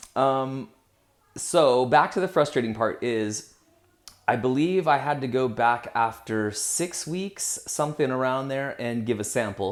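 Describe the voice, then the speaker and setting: A man with medium pitch and a plain, everyday voice talks at a fairly slow pace, his pitch varying in an ordinary way. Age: 40s. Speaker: vlogger. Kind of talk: casual vlog monologue. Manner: conversational, with fillers.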